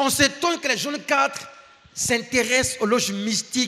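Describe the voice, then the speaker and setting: A man projects a raised voice at an extremely high pitch. He moves at a moderate pace over noticeable background noise. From Ivory Coast. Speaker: guest preacher and professor. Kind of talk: sermon.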